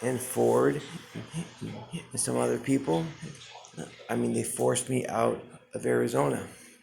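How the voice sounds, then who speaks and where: A man speaks at a fairly slow pace, leaving long, frequent pauses. Audible room echo and noticeable background noise are present. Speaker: homeless man on skid row vlogging. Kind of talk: personal video monologue. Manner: halting, repeated words.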